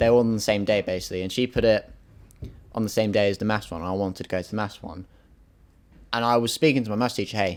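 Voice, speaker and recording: In a very clean recording with a silent background, a man with an English accent talks very fast, his fairly low pitch following a fairly even intonation. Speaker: podcast host. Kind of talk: casual chat.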